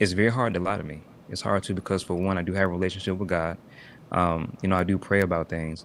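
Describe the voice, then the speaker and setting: A soft-spoken man talks at a very fast pace. His very deep, low voice keeps a fairly even intonation. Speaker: live streamer. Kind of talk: casual chat.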